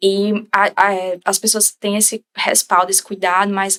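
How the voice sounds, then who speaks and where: Delivered at a moderate pace, a woman's medium-pitched voice stays monotone and flat in a dry, close recording with no echo. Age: 20s. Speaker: bereaved mother sharing her story. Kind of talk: interview testimony.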